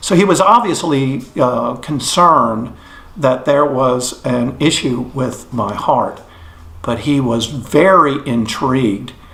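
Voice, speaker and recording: With an American accent, a man at a medium pitch speaks at a very slow pace with ordinary pitch variation. Room echo is audible, along with noticeable background noise. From Texas, Fort Worth. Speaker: near-death experience witness. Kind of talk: testimony. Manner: hesitant, with many fillers.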